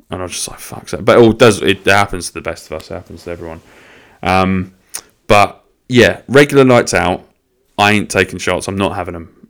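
A man with a very deep, low pitch, a fairly quick pace, ordinary pitch variation and big swings in loudness. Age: 20s. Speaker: podcast host. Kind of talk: casual solo monologue. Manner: rambling, halting with fillers.

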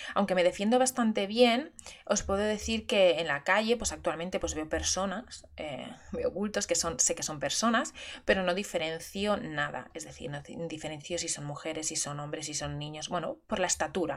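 Lively intonation and vocal fry run through this voice at a moderate pace. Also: woman, fairly low pitch for a woman. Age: 30s. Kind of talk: personal monologue. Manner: halting.

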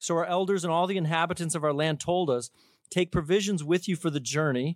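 An ordinary speaking voice, a man's, fairly high-pitched with ordinary pitch variation, in a dry, close sound with no echo on a very clean recording over a silent background. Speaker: church pastor. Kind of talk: church welcome and scripture reading. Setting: church.

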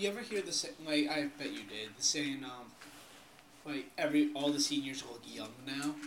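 Against noticeable background noise, a man with a fairly high pitch speaks at a moderate pace, his lively intonation paired with big swings in loudness. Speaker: podcast co-host. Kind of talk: casual chat.

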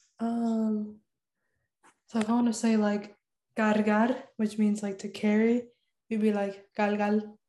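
Dark and mellow in tone, a woman's somewhat breathy voice stays monotone and flat. She speaks at a fairly slow pace with long, frequent pauses. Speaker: college student. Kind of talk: casual chat.

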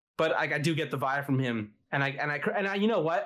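This man has an unremarkable speaking voice and lively intonation. He talks at a fairly quick pace. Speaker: podcast co-host, documentary maker. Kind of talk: casual chat. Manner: profane, casual.

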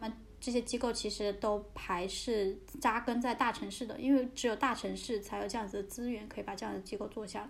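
A woman's fairly quick, fairly high-pitched speech with vocal fry and fairly even intonation. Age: 20s. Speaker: podcast host and social worker. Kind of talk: casual chat. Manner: hesitant, with fillers.

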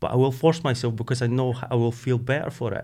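Speaking at a very fast pace, a man in a Scottish accent has a medium-pitched voice. The recording is very clean, with a silent background. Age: 40s. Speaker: ultramarathon runner. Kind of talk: interview.

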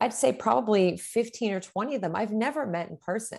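Over a quiet background, a plain, everyday voice moves at a fairly quick pace with lively intonation. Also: woman. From Pittsburgh, Pennsylvania. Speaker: teacher and author. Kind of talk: interview.

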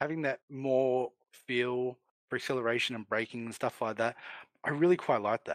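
A man with an Australian accent, medium pitch, fairly even intonation, moderate pace, and a dry, close sound with no echo. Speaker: gaming industry figure. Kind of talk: casual chat.

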